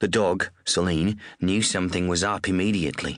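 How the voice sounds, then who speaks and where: A man with a very deep, low voice and an Australian accent, at a moderate pace against a quiet background. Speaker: audiobook narrator. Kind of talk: audiobook reading of crime novel.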